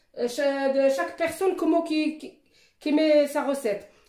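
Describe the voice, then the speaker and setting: A woman's high, dark and mellow voice, lively in intonation, fairly slow, with audible room echo. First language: Moroccan Arabic (speaking French). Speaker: cooking youtuber. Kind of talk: cooking tutorial. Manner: halting.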